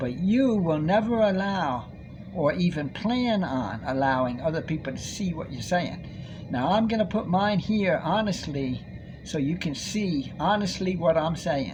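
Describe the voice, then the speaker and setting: A man talks at a high pitch with lively intonation. Audible room echo surrounds his voice. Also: fairly slow pace. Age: 60s. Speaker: vlogger. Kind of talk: monologue. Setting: recorded on a tablet.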